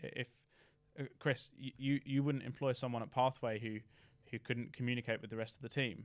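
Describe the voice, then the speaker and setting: Fairly quick speech in an English accent with fairly even intonation. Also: man, medium pitch for a man. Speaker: former apprentice, tech company employee. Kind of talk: casual interview. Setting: studio.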